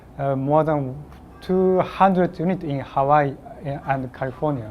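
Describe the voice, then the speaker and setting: A man speaks at a very slow pace with a fairly high pitch and ordinary pitch variation. Noticeable background noise runs underneath. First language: Japanese (speaking Spanish). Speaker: application engineer, trainer. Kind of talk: technical training presentation. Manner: halting, hesitant.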